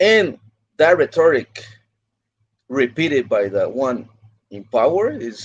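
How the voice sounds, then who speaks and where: Speaking with a Spanish accent, a man swings his pitch very widely. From Mexico (Mexicali), partly California. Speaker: migrant rights activist. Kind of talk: livestream interview. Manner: halting, with frequent repetitions.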